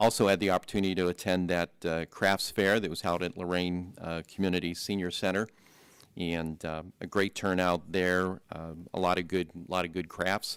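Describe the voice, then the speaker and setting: The recording is very clean, with a silent background. A man speaks at a moderate pace in a very deep, low pitch and a monotone, flat intonation. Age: 60s. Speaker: county commissioner. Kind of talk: public board meeting report.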